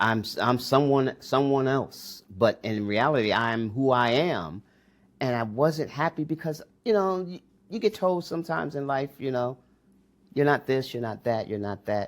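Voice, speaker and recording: An unremarkable speaking voice from a man with an American accent, medium in pitch, lively in intonation and moderate in pace, on a very clean recording with a silent background. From US Northeast, Newark, New Jersey. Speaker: entrepreneur. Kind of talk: interview.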